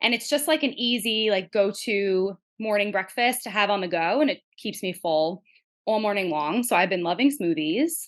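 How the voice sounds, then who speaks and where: A woman talks with a New York accent at a moderate pace and medium pitch. Her intonation is lively, and the background is quiet. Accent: tri-state. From New Jersey. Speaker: family nurse practitioner. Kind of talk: casual interview chat.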